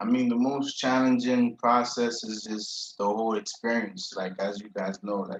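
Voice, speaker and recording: With an American accent, a man speaks at a moderate pace and a medium pitch, keeping fairly even intonation and hardly any pauses. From Haiti. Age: 30s. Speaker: college student. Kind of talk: interview. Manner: casual.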